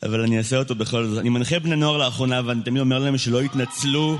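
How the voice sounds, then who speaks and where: Very fast speech from a man in a medium pitch with ordinary pitch variation comes through with audible room echo and noticeable background noise. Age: 20s. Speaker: slam poet. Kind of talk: spoken word poetry. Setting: stage with audience.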